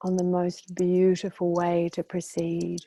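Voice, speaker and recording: A woman speaks very slowly in a calm, soothing, dark and mellow tone, her pitch fairly low. Her intonation is monotone and flat, and the sound is dry and close with no echo. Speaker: hypnotherapist and meditation guide. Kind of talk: guided meditation. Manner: calm, slow, soothing.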